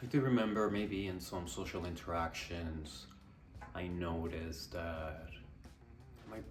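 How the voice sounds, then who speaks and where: A man with a very deep, low voice speaks at a fairly slow pace, with lively intonation. Music plays behind him, and the room echo is audible. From Colombia and Canada. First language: Spanish. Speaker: vlogger and musician. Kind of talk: personal vlog monologue. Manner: casual with many fillers.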